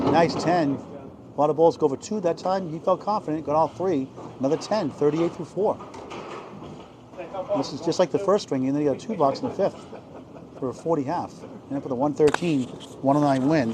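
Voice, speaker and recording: At a fairly quick pace with long, frequent pauses, the speech shows ordinary pitch variation over noticeable background noise. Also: man, fairly high pitch for a man. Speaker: bowling commentator. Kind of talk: live commentary. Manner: animated.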